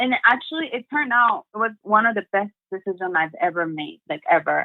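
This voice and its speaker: A woman speaks with a Japanese accent. She keeps a fairly quick pace. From Japan, Sendai. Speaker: motivational speaker. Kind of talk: interview.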